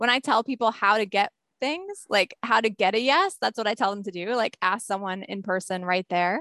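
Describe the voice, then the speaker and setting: Against a quiet background, a woman with an American accent speaks in a bright, sharp tone, the sound dry and close with no echo. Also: medium pitch for a woman, ordinary pitch variation, moderate pace. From rural New Jersey. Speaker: social psychology professor and author. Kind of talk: interview.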